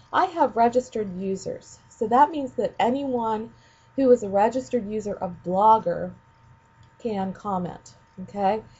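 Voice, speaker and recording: With lively intonation, a woman with a fairly high pitch speaks in a somewhat breathy voice. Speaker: ed tech trainer for teachers. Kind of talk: screencast tutorial. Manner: casual with many fillers.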